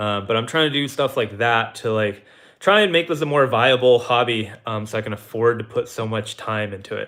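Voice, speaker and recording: A plain, everyday voice from a man with an American accent, medium pitch, ordinary pitch variation and a fairly quick pace. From Texas. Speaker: car YouTuber. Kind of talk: live stream chat. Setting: live stream. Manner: casual with many fillers.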